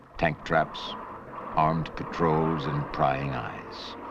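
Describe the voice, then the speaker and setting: In a solemn tone, a man with a very deep, low pitch speaks at a fairly slow pace over noticeable background noise. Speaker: documentary narrator. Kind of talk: documentary narration. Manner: solemn, authoritative, measured.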